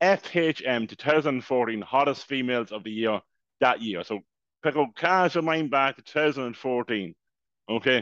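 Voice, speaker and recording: A man with an Irish accent speaks at a medium pitch with lively intonation. The background is quiet, and the sound is dry and close with no echo. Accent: Irish (Louth). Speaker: podcast co-host. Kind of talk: casual chat.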